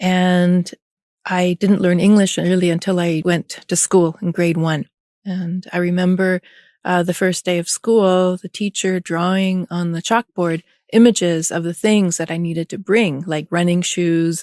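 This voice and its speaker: Speaking in a Canadian accent at a fairly slow pace, a woman uses a fairly low pitch and monotone, flat intonation, recorded very cleanly with a silent background and a dry, close sound with no echo. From Canada, Vancouver. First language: German. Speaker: artist and art professor. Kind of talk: interview.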